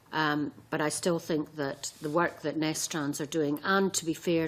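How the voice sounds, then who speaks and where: A woman speaks at a fairly slow pace in a very deep, low voice. Her intonation stays monotone and flat. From Scotland. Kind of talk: committee discussion.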